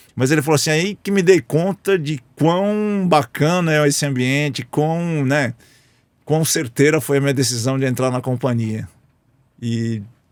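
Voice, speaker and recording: In an ordinary speaking voice, a man talks at a moderate pace and a fairly high pitch, with dry, close sound, no echo and a very clean recording with a silent background. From Brazil, interior of São Paulo state (Lins). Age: 60s. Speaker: business executive. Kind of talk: interview conversation.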